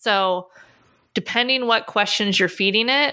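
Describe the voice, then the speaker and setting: On a very clean recording with a silent background, a woman speaks with an American accent in a bright, sharp tone. She keeps a moderate pace and fairly even intonation. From Pittsburgh, US. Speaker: podcast host, pet photographer. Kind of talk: casual interview.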